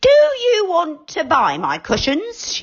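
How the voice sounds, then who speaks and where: Someone uses a put-on character voice at a fairly slow pace with very wide pitch swings. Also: woman, extremely high pitch for a woman. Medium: read story. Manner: curt, cross.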